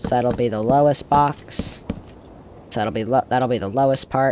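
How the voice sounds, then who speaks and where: Talking at a fairly quick pace, a man comes through noticeable background noise. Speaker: Minecraft YouTuber. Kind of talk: gameplay tutorial commentary. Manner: fast; halting, self-correcting.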